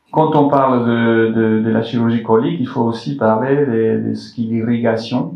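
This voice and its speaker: With a non-native accent, a man speaks at a moderate pace and medium pitch, with ordinary pitch variation and audible room echo. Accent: foreign accent in French. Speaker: colorectal surgeon. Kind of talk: health talk to public audience. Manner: halting with many repetitions.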